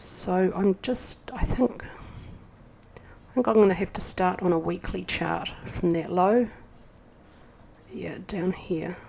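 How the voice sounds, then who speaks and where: A woman with a New Zealand accent speaks very slowly at a medium pitch, with ordinary pitch variation. Her loudness swings widely, and she takes long, frequent pauses. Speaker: market analyst. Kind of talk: tutorial. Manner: thinking aloud, hesitant.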